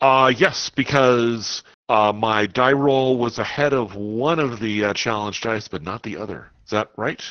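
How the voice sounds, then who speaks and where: With an ordinary speaking voice, a man talks at a fairly slow pace and medium pitch, with ordinary pitch variation and hardly any pauses. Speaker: tabletop game player.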